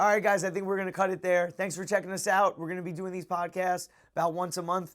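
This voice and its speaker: The speech is loud and delivered at a very fast pace. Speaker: martial arts instructor and former MMA fighter. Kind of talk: casual podcast chat.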